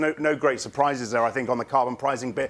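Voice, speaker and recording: Noticeable background noise fills the clip. Through it, a man talks. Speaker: moderator of live panel show. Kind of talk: live panel moderation. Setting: studio at a conference. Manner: fast.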